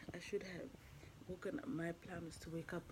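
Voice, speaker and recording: Noticeable background noise surrounds this recording. A woman talks at a fairly low pitch. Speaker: vlogger. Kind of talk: casual vlog monologue. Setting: on a train, on the go. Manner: chatty, rambling, casual. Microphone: phone near.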